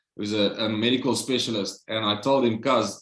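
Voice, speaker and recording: A man with a South African accent. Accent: Afrikaans South African English. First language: Afrikaans. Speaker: Covid survivor. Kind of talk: interview, personal testimony.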